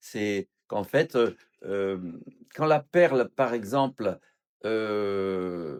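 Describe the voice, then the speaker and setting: A man's speech carries lively intonation, heard in a dry, close sound without any echo. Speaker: pastor or Bible teacher. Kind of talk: Bible study teaching.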